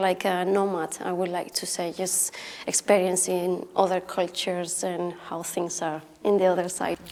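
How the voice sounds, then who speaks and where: A woman with a Spanish accent talks at a moderate pace and medium pitch. Her tone is dark and mellow. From Spain, Alicante (Altea). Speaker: artist. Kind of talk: panel discussion.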